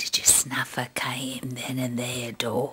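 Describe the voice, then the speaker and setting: A put-on character voice sits at a low-to-middle pitch and moves at a fairly slow pace. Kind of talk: dark comic sketch. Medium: comedy sketch. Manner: giggly, chatty.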